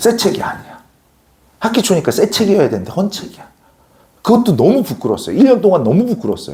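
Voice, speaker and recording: The tone is animated and the pace very fast. Long pauses come often. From non-Seoul region of South Korea. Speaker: academy social studies teacher. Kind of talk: lecture. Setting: classroom with students, recorded on camera. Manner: animated storytelling.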